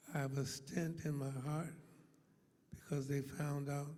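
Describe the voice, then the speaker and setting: A man whispers at a fairly slow pace, somewhat breathy. Room echo is audible. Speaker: pastor. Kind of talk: sermon. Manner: slurred, affected by stroke.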